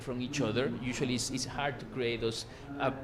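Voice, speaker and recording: A man of medium pitch is heard with audible room echo and noticeable background noise. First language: Spanish. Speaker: researcher and panelist. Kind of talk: panel discussion. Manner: halting.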